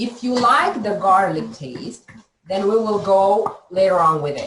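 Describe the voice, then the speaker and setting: Lively intonation marks a woman's medium-pitched voice at a fairly slow pace. Audible room echo is present. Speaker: health coach. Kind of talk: live cooking demo. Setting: video call. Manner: halting, repeats words.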